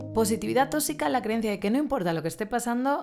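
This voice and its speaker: A woman's dark, mellow voice with very wide pitch swings. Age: 30s. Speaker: therapist. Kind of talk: solo podcast monologue.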